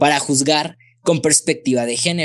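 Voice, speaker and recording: A man at a fairly slow pace, ordinary pitch variation, against a quiet background. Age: 20s. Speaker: lawyer; guest. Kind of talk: expert explanation in interview. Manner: halting, repeats words. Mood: explanatory, friendly. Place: home room. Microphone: studio mic.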